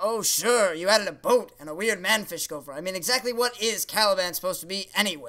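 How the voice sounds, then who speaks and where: In a cartoonish character voice, raised and projected, the speaker races at a very fast pace with hardly any pauses, big swings in loudness and ordinary pitch variation. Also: man, high pitch for a man. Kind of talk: comedy puppet show dialogue. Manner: sarcastic, dismissive.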